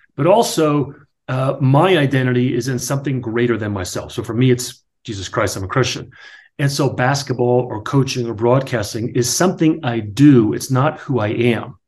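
A man with an American accent speaks at a moderate pace in a somewhat breathy voice with ordinary pitch variation. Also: medium pitch for a man. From New Jersey. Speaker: author and real estate agent, former sports broadcaster. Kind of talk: casual interview conversation.

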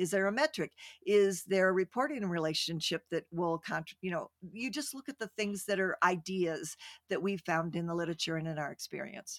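In an ordinary speaking voice, a woman talks at a fairly quick pace with medium pitch and ordinary pitch variation, the sound dry and close with no echo. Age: 60s. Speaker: retired executive and author. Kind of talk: casual interview chat. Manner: playful, warm.

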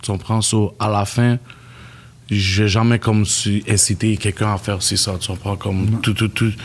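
A somewhat breathy man with a Montreal accent, flat monotone intonation, and long, frequent pauses. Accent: Montreal Creole-tinged accent in English. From Montreal, Quebec (east end). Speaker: music producer, beatmaker. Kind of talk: casual chat.

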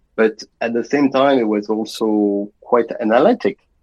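With a French accent, a man talks at a fairly slow pace in a medium pitch and fairly even intonation, the sound dry and close with no echo. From France. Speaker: international banker. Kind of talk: interview.

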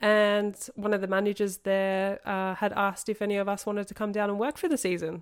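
Talking at a fairly quick pace, a woman with an Australian accent leaves hardly any pauses. The recording is very clean, with a silent background. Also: medium pitch for a woman, fairly even intonation. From Australia, Sydney suburbs. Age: 30s. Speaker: ski season worker and yacht crew. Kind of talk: casual interview.

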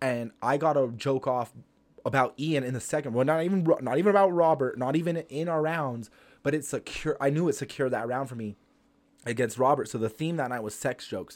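This man has a plain, everyday voice at a fairly high pitch. He talks at a fairly quick pace on a very clean recording with a silent background. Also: ordinary pitch variation. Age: 30s. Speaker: stand-up comedian. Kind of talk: casual chat.

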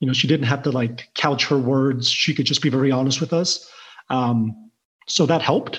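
Speaking in a plain, everyday voice, a man keeps a medium pitch, a moderate pace, fairly even intonation and very even loudness. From southwest Missouri, born in Taiwan. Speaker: insurance professional, father. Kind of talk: interview conversation.

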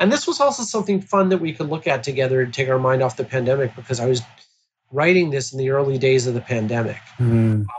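With an American accent, a man speaks at a very fast pace in a somewhat breathy voice. His pitch is medium, with ordinary variation. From Baltimore, Maryland, US. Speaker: screenwriter and children's author. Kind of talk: interview conversation. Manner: animated, laughs often.

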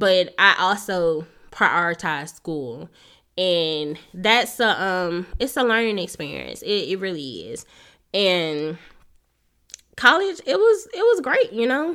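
The speech moves at a very slow pace on a very clean recording with a silent background. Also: woman. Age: 20s. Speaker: podcast host. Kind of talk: casual monologue. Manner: unscripted, off the cuff; laughing often.

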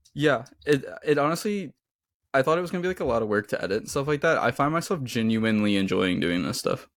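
A man talks very fast at a fairly high pitch, with very wide pitch swings. The recording is very clean, and the background is silent. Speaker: podcast co-host. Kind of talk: casual chat.

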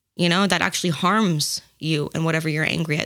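A woman with a fairly low pitch speaks in a plain, everyday voice at a fairly quick pace, her intonation fairly even. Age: 20s. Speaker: podcast guest. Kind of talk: casual chat.

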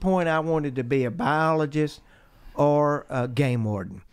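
At a moderate pace, a man speaks with an American accent, his fairly high pitch showing ordinary variation. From US South, north Georgia mountains. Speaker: geologist. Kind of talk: interview.

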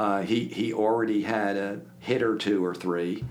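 A man with an American accent and a normal speaking voice talks at a fairly low pitch with fairly even intonation. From Philadelphia area, US. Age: 60s. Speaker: podcast guest, business coach. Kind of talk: casual interview chat.

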